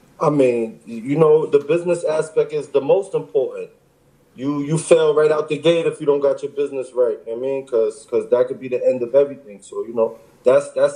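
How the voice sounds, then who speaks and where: With a New York accent, a man speaks at a fairly quick pace. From Long Island, New York. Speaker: rapper. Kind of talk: casual interview. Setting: in a car.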